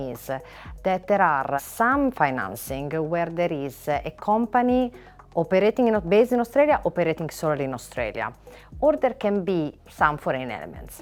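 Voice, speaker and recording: A woman with an Italian accent speaks at a fairly quick pace in a fairly low voice, her pitch swinging very widely over background music. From Italy. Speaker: finance lawyer. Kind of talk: interview. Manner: hesitant with filler words.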